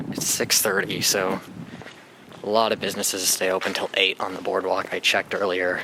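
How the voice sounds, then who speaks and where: A man speaks at a moderate pace. Noticeable background noise runs beneath him. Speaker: vlogger. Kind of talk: casual vlog monologue.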